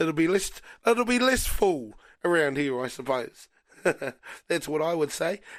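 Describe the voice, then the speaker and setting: A high-pitched man with a New Zealand accent swings his pitch very widely and leaves long, frequent pauses, on a very clean recording with a silent background. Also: moderate pace. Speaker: radio host. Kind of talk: casual chat.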